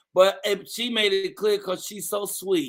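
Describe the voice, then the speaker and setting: With a bright, sharp tone, a man projects a raised, high-pitched voice. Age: 60s. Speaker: morning show host. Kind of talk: live show hosting, casual chat. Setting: online live stream with studio guests. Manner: animated.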